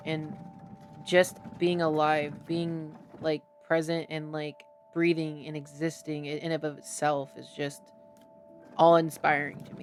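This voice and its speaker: A woman's very deep, low voice in a monotone, flat intonation at a fairly slow pace, with music in the background. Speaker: podcast host, channel owner. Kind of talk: casual chat. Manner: halting, many fillers.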